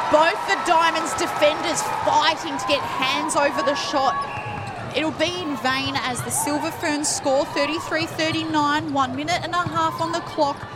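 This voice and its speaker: A woman talks at a high pitch with ordinary pitch variation and a fairly slow pace. Noticeable background noise runs underneath. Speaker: netball commentator. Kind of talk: live sports commentary. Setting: stadium broadcast with crowd.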